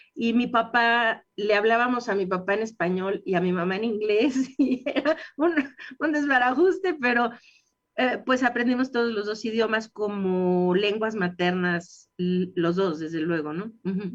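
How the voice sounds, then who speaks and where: At a fairly slow pace, a woman talks with lively intonation and a fairly high pitch. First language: English (speaking Spanish). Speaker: dentist. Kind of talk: radio interview.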